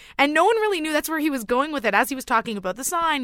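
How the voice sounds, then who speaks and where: An upbeat woman speaks with very wide pitch swings. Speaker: radio newsreader. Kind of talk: casual chat.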